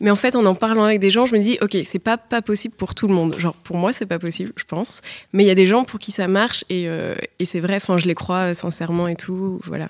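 Speaking at a fairly quick pace, a woman has a plain, everyday voice of medium pitch with ordinary pitch variation. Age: 20s. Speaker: advertising worker. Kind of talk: casual chat.

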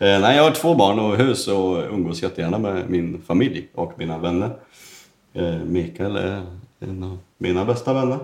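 Here is a man with a fairly low pitch. His intonation is lively. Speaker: tile setter. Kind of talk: casual chat. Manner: fast.

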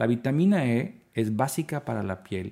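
A man's dark, mellow tone with lively intonation. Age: 50s. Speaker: dermatologist. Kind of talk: interview.

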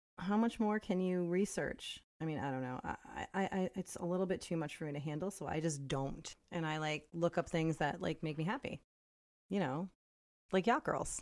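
On a very clean recording with a silent background, a woman with an unremarkable speaking voice talks at a moderate pace and fairly low pitch, with ordinary pitch variation. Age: 40s. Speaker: podcast co-host. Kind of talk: casual chat.

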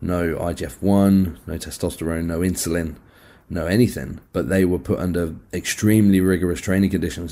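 A man with a very deep, low pitch and a dark, mellow tone, in a very clean recording with a silent background. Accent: British. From UK. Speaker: physique coach. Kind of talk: casual interview chat.

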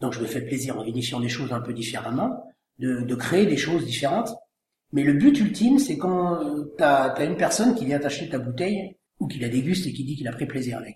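A man speaks with a somewhat breathy voice. There is audible room echo. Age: 40s. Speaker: winegrower. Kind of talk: interview.

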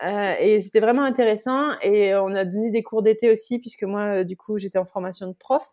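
A woman's fairly high voice in a dark, mellow tone, at a moderate pace with fairly even intonation and hardly any pauses. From southwest France (Bordeaux), later Normandy. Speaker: emotional exploration facilitator. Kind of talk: casual interview.

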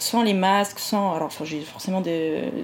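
Speaking at a fairly slow pace, a woman with an unremarkable speaking voice uses ordinary pitch variation. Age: 30s. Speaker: naturopath. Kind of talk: interview conversation.

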